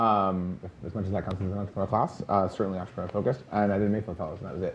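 A man with a very deep, low pitch talks at a very fast pace over light background noise. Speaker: startup founder, panelist; panelist. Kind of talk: panel discussion. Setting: stage with live audience. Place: stage.

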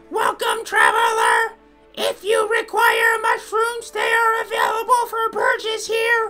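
A put-on, robotic character voice at an extremely high pitch, flat and monotone. It moves at a fairly slow pace over clear music in the background. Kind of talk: reading game dialogue aloud in a character voice. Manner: cheerful, welcoming.

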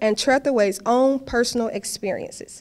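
Her pitch high and ordinary in its variation, a woman speaks at a moderate pace. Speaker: introducer of poets. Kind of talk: reading prepared introductions. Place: hall. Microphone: podium.

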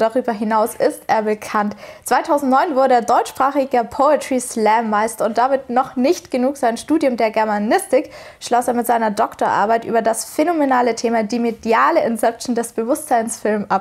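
Speaking at a moderate pace, a woman uses a high pitch with ordinary pitch variation and very even loudness. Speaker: radio interviewer. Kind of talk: show introduction. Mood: cheerful, smiling. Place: studio. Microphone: lapel.

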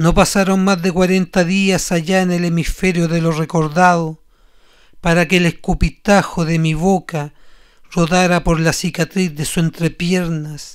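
Speaking fairly slowly in a Chilean accent, the voice has an intense tone and monotone, flat intonation. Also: man, high pitch for a man. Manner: intense, accusatory, rising to a spitting, rhythmic venom.

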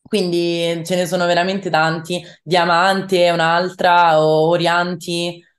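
A woman speaks very slowly with hardly any pauses, at a fairly low pitch and in a flat monotone. Her loudness stays very even over a quiet background. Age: young. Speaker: rock singer-songwriter; interviewee. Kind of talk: interview. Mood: cheerful, smiling. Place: home room. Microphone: video call.

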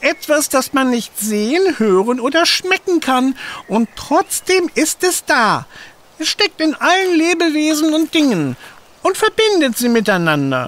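A put-on, high-pitched character voice at a fairly slow pace. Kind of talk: children's audio drama. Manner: wise, philosophical.

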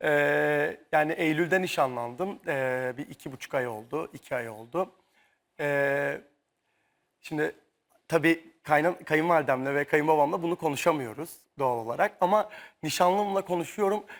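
In a very clean recording with a silent background, a man with an ordinary speaking voice talks fairly slowly at a fairly high pitch, with ordinary pitch variation. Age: 30s. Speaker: dancer. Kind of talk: talk show interview. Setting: tv studio.

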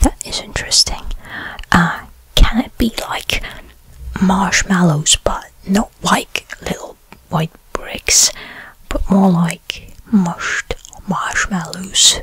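The voice is whispering at a very slow pace. Long, frequent pauses break up the speech. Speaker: role-play host. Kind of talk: soft role-play chat to viewer. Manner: soft-spoken, pondering ASMR voice. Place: home room. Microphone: studio mic.

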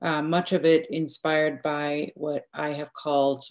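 A woman's very deep, low voice, fairly slow and fairly even in intonation, over a quiet background. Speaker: literature professor. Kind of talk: academic paper presentation. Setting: video call. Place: home room. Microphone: video call.

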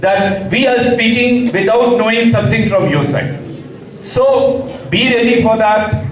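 The speaker talks at a fairly slow pace with lively intonation and very even loudness, with light background noise and audible room echo. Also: man, high pitch for a man. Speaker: government official; guest. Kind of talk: formal address to students. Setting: workshop hall with student audience.

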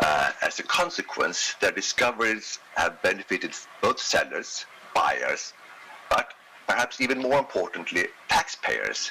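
A man speaks in a Swedish accent at a fairly slow pace. Light background noise is present. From Sweden. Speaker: economics professor. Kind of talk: lecture. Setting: video call. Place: home room.

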